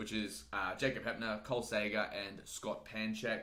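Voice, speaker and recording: A man talks in an animated, bright, sharp tone, with audible room echo around him. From Australia. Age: 20s. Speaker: fitness YouTuber. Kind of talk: live stream Q&A. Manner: casual, animated.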